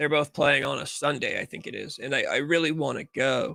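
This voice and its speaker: A man with an American accent, a bright, sharp tone and a fairly quick pace. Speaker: livestream talk show host. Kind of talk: casual livestream chat. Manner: uneven volume, loud and quiet.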